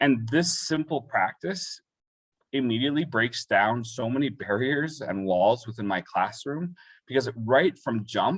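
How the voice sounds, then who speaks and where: A man with a Canadian accent talks at a fairly slow pace in a medium pitch, with lively intonation. The recording is very clean, with a silent background. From Calgary, western Canada. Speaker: high school English teacher. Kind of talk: panel presentation. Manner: halting, many repetitions.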